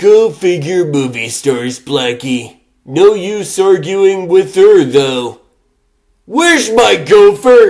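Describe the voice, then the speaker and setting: A man puts on a character voice, high-pitched with very wide pitch swings and a very slow pace. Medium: fan dub. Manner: showbiz slang.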